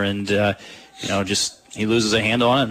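Medium-pitched male voice, relaxed in tone, with monotone, flat intonation over noticeable background noise. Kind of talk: live sports commentary. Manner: conversational analyst, relaxed, filler-heavy.

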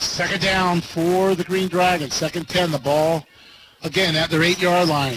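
Against noticeable background noise, a man speaks in a high pitch at a fairly slow pace, his loudness very even. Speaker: play-by-play radio announcer. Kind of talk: live play-by-play sports commentary. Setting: stadium broadcast booth. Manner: energetic but even-toned, matter-of-fact.

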